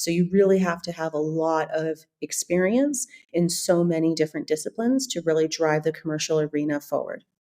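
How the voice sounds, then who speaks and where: The voice is dark and mellow, with an American accent and ordinary pitch variation. It moves at a fairly quick pace with hardly any pauses. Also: woman, fairly low pitch for a woman. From US West Coast, California. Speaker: business executive. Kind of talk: podcast interview.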